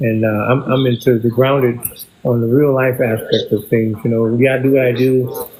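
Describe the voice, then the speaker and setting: Against noticeable background noise, a man talks at a moderate pace and medium pitch with flat, monotone intonation. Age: 70s. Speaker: drummer. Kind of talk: casual chat. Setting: livestream video call.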